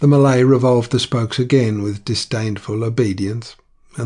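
What you hear is a natural reading voice.

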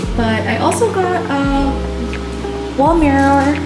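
A woman speaks with music clearly audible behind her. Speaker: vlogger. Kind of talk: casual vlog chat. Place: home room. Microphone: phone near.

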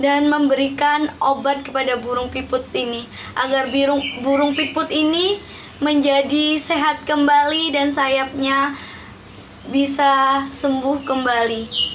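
At a very slow pace, a woman speaks in a high, monotone, flat voice with very even loudness over light background noise. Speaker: storyteller. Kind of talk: storytelling with puppets. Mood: gentle, warm. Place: home room. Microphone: phone near.

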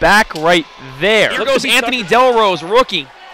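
Over music in the background, a man speaks at a moderate pace with very wide pitch swings, the sound dry with no echo. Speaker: sports commentator. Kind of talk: live sports commentary over hockey game highlights. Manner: excitable on goals, then relaxed analytical asides. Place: stadium.

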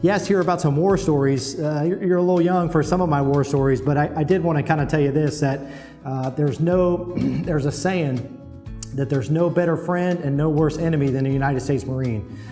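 With music in the background, a man with an American accent speaks very fast at a fairly high pitch, with ordinary pitch variation and very even loudness. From Ohio. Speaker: Marine master sergeant. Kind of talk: video letter reply to a child. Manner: casual, friendly, hesitant.

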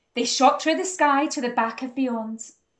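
At a moderate pace, a woman talks with a high pitch and ordinary pitch variation.

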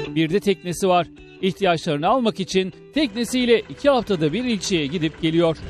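Over music in the background, a man with a high pitch speaks at a moderate pace. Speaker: news reporter. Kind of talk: TV news report narration.

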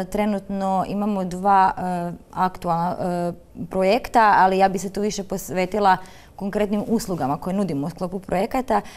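Her pace moderate and her pitch variation ordinary, a woman speaks. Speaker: special education therapist. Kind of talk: studio interview. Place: studio. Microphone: lapel.

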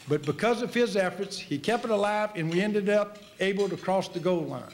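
A man's high-pitched voice at a moderate pace, ordinary pitch variation, light background noise. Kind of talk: speech at annual meeting. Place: hall. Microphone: podium.

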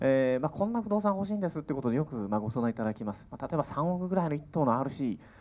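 Very wide pitch swings mark a man's fast-moving speech, delivered at a very fast pace in a dark, mellow tone. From Kyushu, Miyazaki; Kyushu. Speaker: real estate consultant; seminar lecturer. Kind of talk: seminar lecture. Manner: formal. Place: meeting room. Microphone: handheld.

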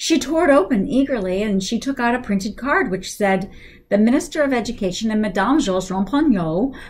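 This is an unforced reading voice. It carries through the clip.

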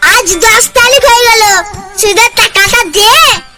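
A cartoonish character voice at an extremely high pitch goes at a moderate pace with fairly even intonation over light background noise. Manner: pompous, domineering.

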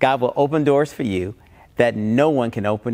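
At a moderate pace, a man speaks with ordinary pitch variation over a quiet background. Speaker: pastor. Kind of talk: sermon. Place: church. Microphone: lapel.

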